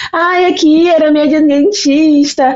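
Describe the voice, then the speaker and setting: This is a woman with a Rio de Janeiro accent. Her voice sits high in pitch. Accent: Rio de Janeiro (carioca) Brazilian Portuguese. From Brazil, Baixada Fluminense (Rio de Janeiro). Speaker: invited psychology expert. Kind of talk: podcast conversation.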